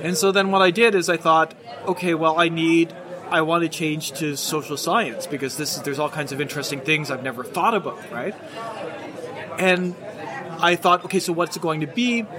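Crowd noise fills the background as the speaker, with a Maritime Canadian accent, talks at a moderate pace with ordinary pitch variation. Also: man, high pitch for a man. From Nova Scotia, Canada. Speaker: political science professor. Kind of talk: casual chat. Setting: outdoors at a pub.

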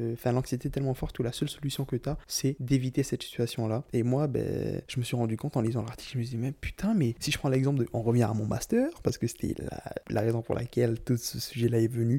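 Barely pausing, a man rushes along at a very fast pace in a dark, mellow, somewhat breathy tone, at medium pitch with fairly even intonation. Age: 20s. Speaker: solo podcaster. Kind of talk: personal monologue.

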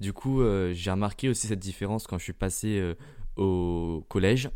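Fairly low-pitched and dark, mellow in tone, a man talks at a fairly quick pace. His intonation is fairly even, and the recording is very clean with a silent background. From Germany. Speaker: podcaster. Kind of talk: casual monologue.

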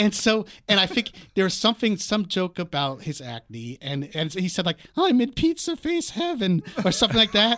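A man with an American accent and a high voice speaks at a moderate pace in a bright, sharp tone, his pitch swinging very widely. The recording is very clean, with a silent background. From US East Coast, Washington D.C. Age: 50s. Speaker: TV comedy writer. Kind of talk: casual chat.

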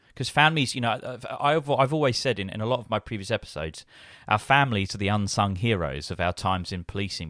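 Very fast and with lively intonation, a man speaks in a fairly low voice in a very clean recording with a silent background. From UK. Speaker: podcast host. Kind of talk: interview.

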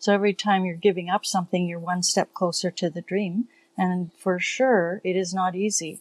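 In a dry, close recording with no echo and a quiet background, a woman at medium pitch speaks at a moderate pace with a flat, monotone delivery. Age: 60s. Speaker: healthcare worker, sailor. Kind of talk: casual chat.

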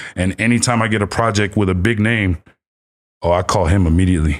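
A man with an American accent, a normal speaking voice, fairly low pitch and a fairly quick pace, on a very clean recording with a silent background. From Los Angeles. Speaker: streetwear and cannabis brand founder. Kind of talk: casual chat.

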